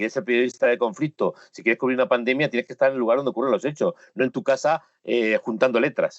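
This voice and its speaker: A man with a Spanish accent speaks at a very fast pace with hardly any pauses. His medium-pitched voice shows ordinary pitch variation and big swings in loudness. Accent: Spanish (Spain). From Spain. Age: 60s. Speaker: photojournalist. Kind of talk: interview. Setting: home studio, remote call. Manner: emphatic.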